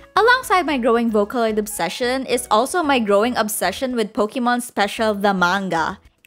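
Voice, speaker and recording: Music behind a woman's high voice, moving at a moderate pace. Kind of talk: casual storytime narration to camera.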